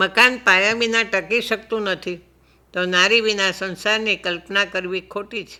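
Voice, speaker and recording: A woman's bright, sharp tone holds a medium pitch and fairly even intonation. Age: 80s+. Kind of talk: radio lecture.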